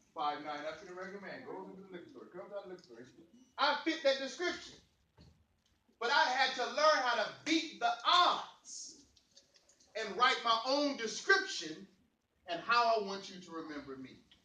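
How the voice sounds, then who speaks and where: Raised and projected, a man's extremely high, bright, sharp voice moves at a moderate pace in an animated tone, swinging very widely in pitch and greatly in loudness, broken by long, frequent pauses and carrying audible room echo. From East St. Louis, Illinois. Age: 40s. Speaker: motivational speaker. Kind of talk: motivational speech to youth. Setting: youth forum with audience.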